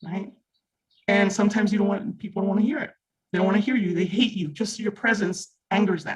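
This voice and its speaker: Words rush out at a very fast pace. Background music accompanies them. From Mexico. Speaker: reading group participant. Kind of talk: group discussion. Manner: animated.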